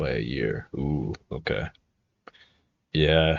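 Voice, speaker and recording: A man is speaking. His voice has vocal fry. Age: 20s. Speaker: streamer. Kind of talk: casual chat. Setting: live stream. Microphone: new cheap plastic microphone.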